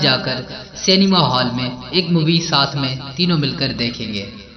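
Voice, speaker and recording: Amid noticeable background noise, a man talks with very wide swings in pitch. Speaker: voice-over narrator. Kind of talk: horror story narration.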